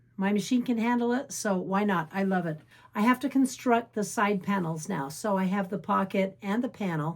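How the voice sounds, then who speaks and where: A woman's somewhat breathy voice at medium pitch with ordinary pitch variation. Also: moderate pace. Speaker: quilting channel host. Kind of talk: sewing tutorial. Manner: animated.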